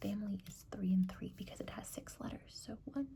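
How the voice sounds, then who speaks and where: Soft-spoken delivery moves along at a moderate pace. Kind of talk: ASMR bullet journal setup talk to camera.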